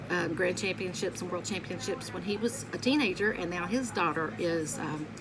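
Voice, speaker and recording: A woman with a Southern US accent speaks at a moderate pace in an animated tone with lively intonation. Audible room echo and noticeable background noise sit behind her. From Kentucky (Lexington). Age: 50s. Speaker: vlogger. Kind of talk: casual vlog monologue. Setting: home bedroom by window. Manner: chatty, animated.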